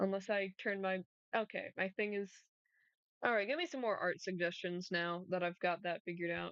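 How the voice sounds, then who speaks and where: A woman's medium-pitched voice moves at a moderate pace, its intonation fairly even. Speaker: streamer. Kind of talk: casual chat. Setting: livestream. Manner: loud.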